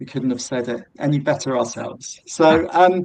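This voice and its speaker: The voice belongs to a man with a British accent. He speaks at a moderate pace. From Britain. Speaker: drone software company representative. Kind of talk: webinar presentation.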